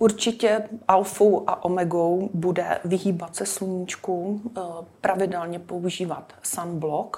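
Against noticeable background noise, a woman at medium pitch speaks at a very slow pace in a monotone, flat intonation. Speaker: dermatologist. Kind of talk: interview. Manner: formal.

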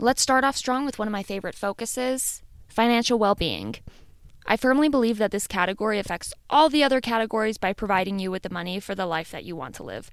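Speaking very fast with a Midwestern American accent, a woman with a fairly high voice and ordinary pitch variation swings widely in loudness on a very clean recording with a silent background. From US Midwest. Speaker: podcast host. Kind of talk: solo podcast monologue.

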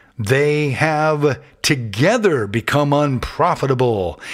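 On a very clean recording with a silent background, a man speaks at a very slow pace, his medium pitch shaped by lively intonation. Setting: studio.

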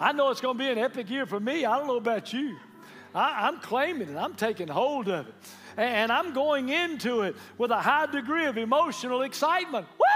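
An animated man with a Southern US accent, extremely high-pitched, fairly quick and lively in intonation, over noticeable background noise. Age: 70s. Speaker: pastor. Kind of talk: sermon. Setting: church with live congregation. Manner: animated, call-and-response preaching.

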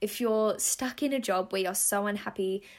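A woman with an Australian accent speaks at a fairly quick pace in a medium pitch with ordinary pitch variation, in a very clean recording with a silent background. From Western Australia. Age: 20s. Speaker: model and podcast host. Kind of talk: casual chat. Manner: animated.

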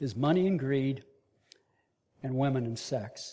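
This man has a fairly high pitch and a dark, mellow tone. He talks at a moderate pace. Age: 70s. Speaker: leadership trainer and speaker at men's ministry. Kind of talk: sermon.

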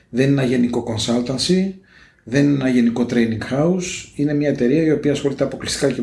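Over noticeable background noise and audible room echo, a man talks at a medium pitch and a fairly quick pace. His loudness stays very even, and his pitch varies in an ordinary way. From Greece, Piraeus. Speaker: negotiation consultant. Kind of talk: interview.

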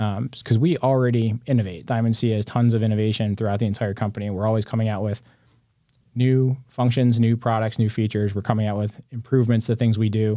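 A man with an American accent rushes along at a very fast pace in a flat monotone, his pitch medium and his tone dark and mellow, over a quiet background. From upstate New York. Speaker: company innovation executive and mechanical engineer. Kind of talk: casual interview.

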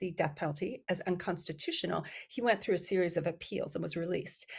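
A woman talks at a medium pitch with ordinary pitch variation, in an ordinary speaking voice. The recording is very clean, with a silent background. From US, Iranian immigrant family, raised bilingual. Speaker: psychiatry professor and researcher. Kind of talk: podcast interview.

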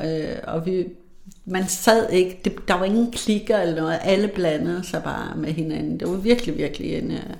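Noticeable noise in the background, with delivery at a fairly slow pace. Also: woman. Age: 50s. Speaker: HR manager. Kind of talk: casual interview. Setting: studio. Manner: hesitant, many fillers.

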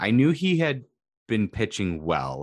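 Here is a man with a fairly low pitch. His voice moves in very wide pitch swings. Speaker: sports podcast co-host. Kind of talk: casual chat. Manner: halting.

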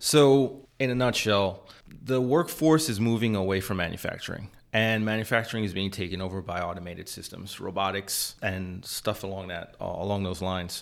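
A man with an American accent talks at a moderate pace, with a fairly low pitch and ordinary pitch variation, on a very clean recording with a silent background. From US Northeast, New York City. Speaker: electrical engineer. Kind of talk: casual chat. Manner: halting.

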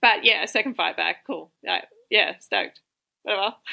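A woman talks at a fairly quick pace with vocal fry. Her tone is animated. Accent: Australian. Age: 30s. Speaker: Muay Thai fighter and personal trainer. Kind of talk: podcast interview.

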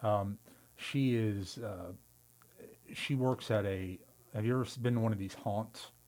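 Speaking at a fairly slow pace with long, frequent pauses, a man with an American accent uses a fairly low pitch. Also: fairly even intonation. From Tampa, Florida (born Long Island). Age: 40s. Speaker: lawyer. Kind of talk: casual chat.

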